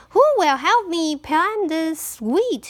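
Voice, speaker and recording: Doing a put-on character voice, a woman sounds squeaky. Her pitch is extremely high. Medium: read story.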